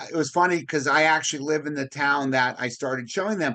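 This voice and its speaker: A loud man with a bright, sharp tone speaks at a moderate pace and with ordinary pitch variation against a quiet background. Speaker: podcast host, real estate broker. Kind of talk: casual interview chat.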